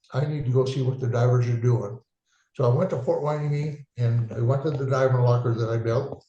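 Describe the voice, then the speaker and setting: A man with an American accent talks at a fairly quick pace, medium in pitch with a dark, mellow tone. His voice is somewhat breathy and his intonation fairly even. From eastern Washington State, US. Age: 80s+. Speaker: war veteran. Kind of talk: interview. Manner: halting.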